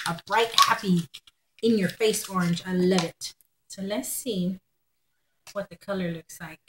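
With an American accent, a woman speaks at a fairly slow pace with fairly even intonation, long, frequent pauses and big swings in loudness over noticeable background noise. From Texas. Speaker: haul vlogger. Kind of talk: casual haul video monologue. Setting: at home. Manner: chatty with fillers. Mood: cheerful, chatty. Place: home room. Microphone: webcam.

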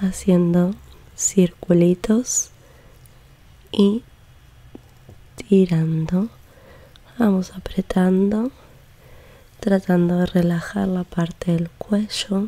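A soft-spoken woman leaves long, frequent pauses. Her intonation stays fairly even. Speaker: ASMR creator. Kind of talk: soft-spoken tutorial. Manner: soft-spoken slow ASMR voice. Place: home room. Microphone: studio mic.

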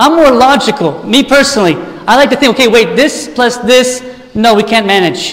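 A fairly fast-talking male speaker. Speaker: preacher. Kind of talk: sermon. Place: church.

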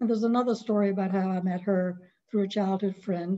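A woman with a Southern US accent, a dark, mellow tone and a fairly quick pace. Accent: Southern American. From North Carolina. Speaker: author; guest. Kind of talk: webinar presentation of memoir. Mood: warm, nostalgic. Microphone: video call.

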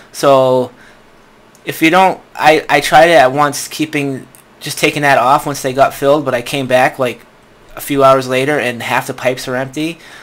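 A man talks at a moderate pace in a fairly high pitch, his intonation monotone and flat. Noticeable background noise is present. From US Northeast. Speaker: gaming YouTuber. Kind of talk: gameplay commentary. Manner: casual, rambling with fillers.

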